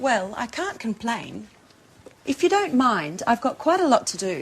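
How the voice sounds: A woman puts on a character voice, fairly high-pitched with a slightly husky edge, swinging widely in pitch at a fairly slow pace.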